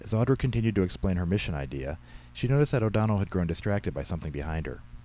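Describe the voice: Someone does plain reading aloud, and the intonation is lively throughout.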